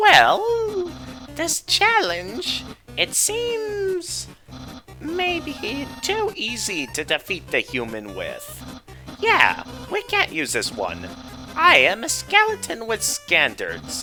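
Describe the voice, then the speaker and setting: Over clear music in the background, a man uses a put-on character voice. It sits at an extremely high pitch and moves at a very slow pace. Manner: goofy.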